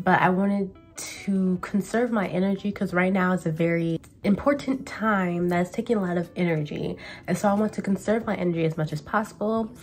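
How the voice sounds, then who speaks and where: A woman speaks at a fairly quick pace with ordinary pitch variation. Faint music plays in the background. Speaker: tarot reader. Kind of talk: casual vlog chat. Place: home room. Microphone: camera far.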